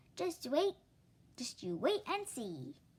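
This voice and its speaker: Putting on a character voice, a woman speaks at a high pitch that swings very widely. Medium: read story.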